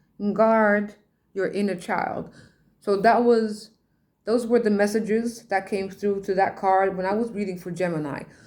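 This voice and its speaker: A woman speaks with a Dutch accent at a medium pitch. Her intonation is fairly even. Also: moderate pace. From Netherlands, Rotterdam. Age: 40s. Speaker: tarot reader and poet. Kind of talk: casual monologue, podcast. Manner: halting.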